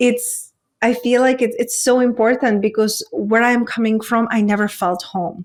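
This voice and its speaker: A woman speaks at a fairly high pitch. Her intonation is fairly even. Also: moderate pace. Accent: Czech. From Czech Republic. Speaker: women's coach. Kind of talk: interview conversation.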